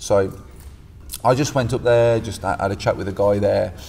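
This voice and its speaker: This voice belongs to a man and has a dark, mellow tone. There is a somewhat breathy quality to it. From West Midlands, England (Stourbridge). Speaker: jiu-jitsu coach. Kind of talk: casual chat.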